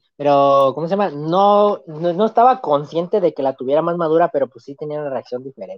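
With a normal speaking voice, a man talks at a fairly quick pace and fairly high pitch, his loudness swinging widely. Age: 20s. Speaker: student guest. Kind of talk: casual interview chat.

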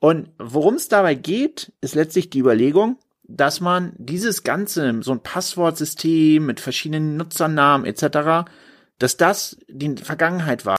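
A man speaks in an ordinary speaking voice at a fairly high pitch and a fairly slow pace. His intonation is lively, and the recording is very clean with a silent background. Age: 40s. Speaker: lawyer and podcast host. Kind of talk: solo explainer podcast. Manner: casual with filler sounds.

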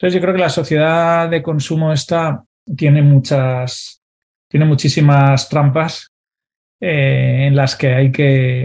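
Somewhat breathy and fairly high-pitched, this man's voice is heard. His intonation stays fairly even. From Valencia, Spain. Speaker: financial advisor and entrepreneur. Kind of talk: interview. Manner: halting, with frequent repetitions.

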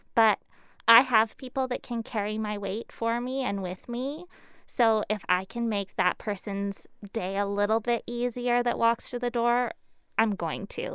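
In a very clean recording with a silent background, a woman with a Canadian accent and an unremarkable speaking voice talks at a fairly slow pace, her fairly high pitch held to fairly even intonation. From Canada, Lower Mainland of British Columbia. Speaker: small business owner. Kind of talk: casual interview.

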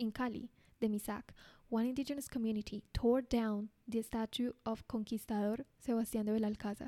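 Speaking in a Spanish accent, a woman has a dark, mellow tone and a fairly high pitch, talking at a fairly quick pace. Her intonation is fairly even, and the sound is dry and close with no echo. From Colombia. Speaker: podcaster. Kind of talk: news-style chronicle narration.

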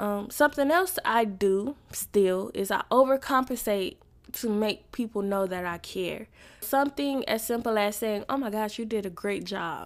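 A woman talks at a moderate pace with ordinary pitch variation in an ordinary speaking voice. The recording is very clean, with a silent background. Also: fairly high pitch for a woman. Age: 20s. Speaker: podcast host. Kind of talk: personal faith-based reflection monologue.

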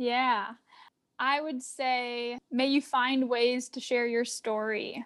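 With an American accent, a woman speaks at a very slow pace and a high pitch in a monotone, flat intonation. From Arizona. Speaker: trend researcher and mental health advocate. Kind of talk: casual interview chat.

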